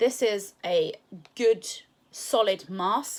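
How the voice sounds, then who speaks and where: A woman's fairly high voice in a British accent, very slow, with lively intonation. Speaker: product reviewer. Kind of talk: product review. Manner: casual with many fillers.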